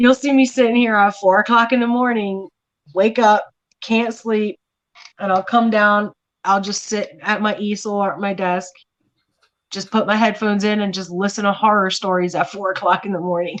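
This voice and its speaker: With an American accent, a woman talks in a plain, everyday voice at medium pitch and a moderate pace, her intonation fairly even. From Miami, Florida. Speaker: artist. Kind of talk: casual chat.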